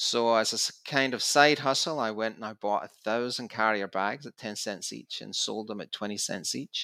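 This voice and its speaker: Bright, sharp voice with a Scottish accent, in a very clean, dry recording with a silent background and a close sound with no echo. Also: man. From Scotland, Glasgow. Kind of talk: interview.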